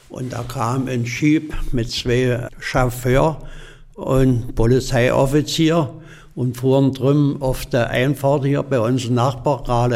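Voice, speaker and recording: Talking at a very slow pace, a man keeps a medium pitch and fairly even intonation. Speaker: eyewitness. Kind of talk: interview.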